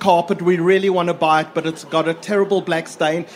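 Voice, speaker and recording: The speech moves at a moderate pace with fairly even intonation. Noticeable background noise sits behind it. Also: man. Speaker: audience member asking a question. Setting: live event with audience.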